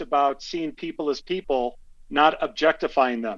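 A man in a normal speaking voice with an American accent, fairly high in pitch with ordinary pitch variation, at a moderate pace over a quiet background. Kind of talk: casual interview. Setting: phone call.

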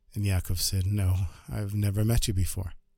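Somewhat breathy and animated, a man speaks at a moderate pace on a very clean recording with a silent background. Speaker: storyteller podcaster. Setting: Jerusalem. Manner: animated, conversational, shifting to present tense as the story builds.

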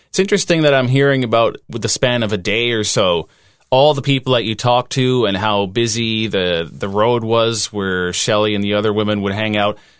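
A man uses a normal speaking voice at medium pitch, talking at a fairly quick pace with ordinary pitch variation. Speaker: podcast co-host. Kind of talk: casual chat.

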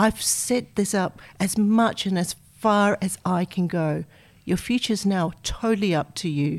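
In a very clean recording with a silent background, a woman speaks with a plain, everyday voice at medium pitch, with ordinary pitch variation and a fairly slow pace. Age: 50s. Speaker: financial advisor. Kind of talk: interview.

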